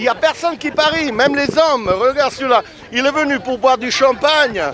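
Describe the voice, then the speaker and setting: The speaker has an Italian accent and an animated tone at a moderate pace. Crowd noise sits in the background. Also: man. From Italy. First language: Italian (speaking French). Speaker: street interviewer. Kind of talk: vox pop interviews. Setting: outdoors.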